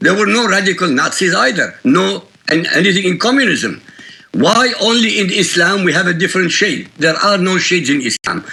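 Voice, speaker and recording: At a moderate pace, a man uses a raised, projected voice, high in pitch, with ordinary pitch variation and very even loudness. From Iraq. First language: Arabic. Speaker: author and critic of religion. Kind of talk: news interview. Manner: emphatic.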